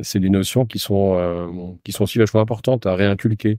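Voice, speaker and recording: This man's voice is very deep and low, with a dark, mellow tone and ordinary pitch variation. The recording is very clean, with a silent background. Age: 60s. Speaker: entrepreneur. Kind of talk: interview. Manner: hesitant, many fillers.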